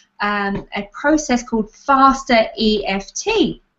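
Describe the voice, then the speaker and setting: A woman's fairly high voice with an Australian accent. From Australia, Adelaide. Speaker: tapping therapy practitioner. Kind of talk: interview. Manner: halting.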